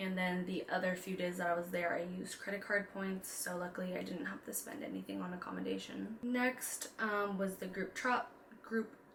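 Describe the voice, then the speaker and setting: A woman's medium-pitched voice at a moderate pace, with ordinary pitch variation, over noticeable background noise. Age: 20s. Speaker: personal finance and lifestyle vlogger. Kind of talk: casual vlog talk. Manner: casual with fillers.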